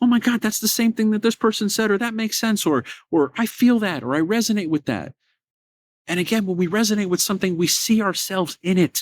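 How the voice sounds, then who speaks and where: In a very clean recording with a silent background and a dry, close sound with no echo, a man speaks at a fairly quick pace. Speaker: podcast host. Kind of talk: casual monologue. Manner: animated; fast.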